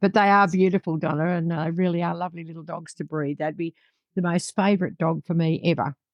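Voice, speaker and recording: A woman with an Australian accent at a very fast pace, fairly low in pitch, with fairly even intonation. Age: 70s. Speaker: dog breeder. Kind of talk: interview.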